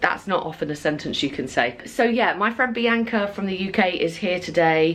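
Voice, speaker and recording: Someone with a British accent talks at a fairly quick pace over noticeable background noise. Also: woman. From UK. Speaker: travel vlogger. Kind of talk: casual vlog talk to camera. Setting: outdoors on a beach.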